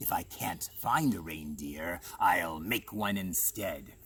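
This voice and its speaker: Growling in a put-on character voice, a man speaks at a fairly slow pace and a very deep, low pitch over clear background noise. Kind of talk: storyteller acting a comic villain. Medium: read story. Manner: snarling, sneering.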